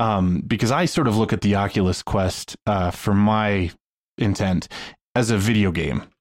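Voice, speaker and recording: In a very clean recording with a silent background, a man with an unremarkable speaking voice talks at a moderate pace and fairly low pitch, his loudness very even. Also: ordinary pitch variation. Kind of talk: casual panel chat.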